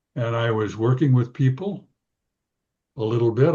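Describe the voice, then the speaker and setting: A man with an American accent, somewhat breathy, dark and mellow in tone, at medium pitch, with ordinary pitch variation and a moderate pace. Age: 80s+. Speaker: psychologist. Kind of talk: interview. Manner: halting.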